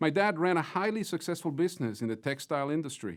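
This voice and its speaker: A man with a Mexican accent talks at a fairly quick pace in a fairly high voice with lively intonation, in a very clean recording with a silent background. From Mexico (Mexico City). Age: 50s. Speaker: business executive, closing speaker. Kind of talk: closing keynote speech. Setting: virtual conference. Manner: formal.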